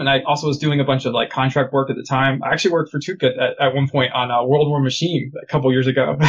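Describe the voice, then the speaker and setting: Speaking at a very fast pace, a man has a fairly high pitch and a somewhat breathy voice. His intonation stays fairly even. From United States. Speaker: game artist and studio founder. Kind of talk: casual interview.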